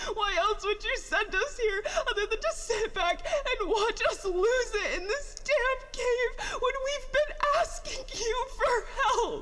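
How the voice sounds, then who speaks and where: Over clear background noise, a put-on character voice speaks at a fairly slow pace with extremely high pitch. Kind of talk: audio drama monologue. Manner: emotional, distressed, tearful.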